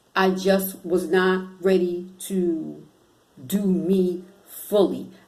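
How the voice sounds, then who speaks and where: A woman's very slow, monotone, flat delivery at medium pitch, with audible room echo. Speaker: spiritual self-help vlogger. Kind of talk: motivational vlog talk.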